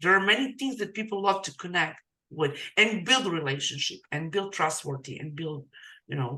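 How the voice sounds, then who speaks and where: A woman's fairly low-pitched voice, bright and sharp in tone, at a moderate pace, with very wide pitch swings and big swings in loudness. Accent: non-native. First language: not English. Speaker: digital marketing coach, podcast host. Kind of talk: casual interview chat. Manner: halting.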